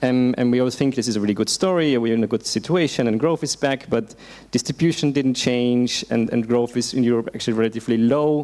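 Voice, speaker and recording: At a very fast pace, a man speaks with a dark, mellow tone, ordinary pitch variation and very even loudness. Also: medium pitch for a man. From Austria. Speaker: policy researcher. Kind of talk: panel discussion.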